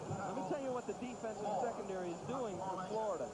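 Over noticeable background noise, a man with a high voice talks at a fairly quick pace with ordinary pitch variation. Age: 30s. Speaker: football color commentator. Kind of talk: live commentary. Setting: stadium broadcast booth.

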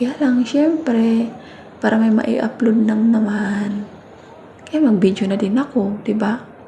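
Very slow speech at very even loudness, with ordinary pitch variation, noticeable background noise and audible room echo. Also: woman, fairly high pitch for a woman. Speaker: vlogger, domestic worker abroad. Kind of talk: casual vlog voice-over. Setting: recorded in a bathroom. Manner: hushed, hiding from employer.

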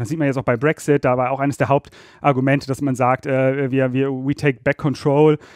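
In a dry, close sound with no echo, a man with a fairly high pitch speaks at a moderate pace with fairly even intonation. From Rhineland, Germany (Ratingen near Düsseldorf). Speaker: energy law expert. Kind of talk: interview. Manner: hesitant, many filler sounds.

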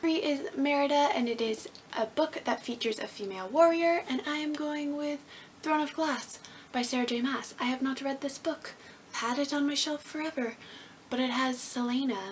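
A woman speaks at a moderate pace with a high pitch. Her pitch varies in an ordinary way over light background noise. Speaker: book vlogger. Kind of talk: casual vlog chat. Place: home room. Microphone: camera far.

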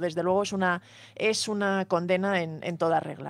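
The woman's voice has a dry sound with no echo. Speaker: news presenter. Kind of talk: news reading. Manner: halting. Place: studio. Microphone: studio mic.

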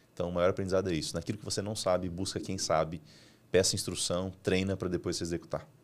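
Very deep and low, a man's voice races along at a very fast pace in a flat monotone. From Brazil, Mato Grosso interior. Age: 30s. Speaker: entrepreneur and business mentor; podcast guest. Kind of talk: business podcast interview. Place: studio. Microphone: studio mic.

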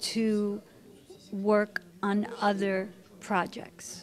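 Light noise hums in the background as a woman talks. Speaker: actress being interviewed. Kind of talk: interview answer. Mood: warm, reflective. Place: home room.

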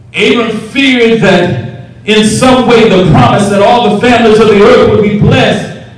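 Strong room echo surrounds a man who speaks at a moderate pace with ordinary pitch variation and very even loudness. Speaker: preacher. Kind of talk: sermon. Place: church.

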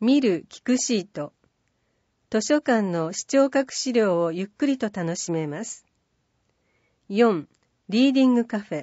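A woman's fairly high voice at a fairly slow pace, with very wide pitch swings and long, frequent pauses. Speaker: newsletter narrator. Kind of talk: reading aloud. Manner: formal.

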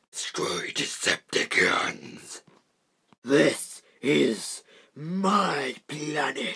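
In a raspy, put-on character voice, the speaker goes at a very slow pace with a low-to-middle pitch. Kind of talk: character voice impressions. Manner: loud, blunt.

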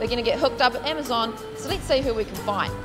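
A woman talks at a very fast pace. Clear music plays in the background. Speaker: presenter. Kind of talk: promotional street interview. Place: market. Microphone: handheld.

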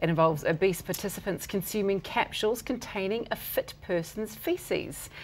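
A woman speaks with a New Zealand accent at a medium pitch and a moderate pace. Her pitch varies in an ordinary way, with hardly any pauses. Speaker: TV presenter. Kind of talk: scripted intro. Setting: studio. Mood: serious with light touches. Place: studio. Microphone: lapel.

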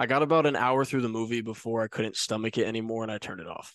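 The recording of this man's voice is dry, with no echo. The background is quiet. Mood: disgusted but laughing. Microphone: handheld.

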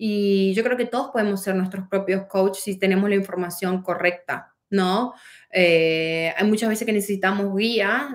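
Against a quiet background, a woman with a northeastern Argentine accent speaks at a fairly slow pace with ordinary pitch variation. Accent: Argentine Spanish (northeastern, voseo). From Argentina, Posadas, Misiones; Misiones, Argentina. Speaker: life coach. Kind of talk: motivational livestream talk. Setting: livestream on several platforms. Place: home room. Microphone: phone near.

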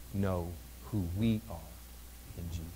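Very deep and low in pitch, a man's somewhat breathy voice moves at a fairly slow pace with ordinary pitch variation. Light background noise sits behind him. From Missouri, US Midwest. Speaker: pastor. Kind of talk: sermon. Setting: church. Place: church.

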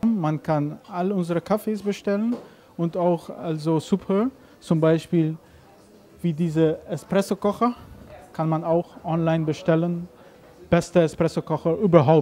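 A man's high, dark, mellow voice with a non-native accent, fairly slow and broken by long, frequent pauses, with ordinary pitch variation and light background noise. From Aruba. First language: not German (speaking German). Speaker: coffee roaster owner. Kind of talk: interview. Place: cafe. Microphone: handheld.

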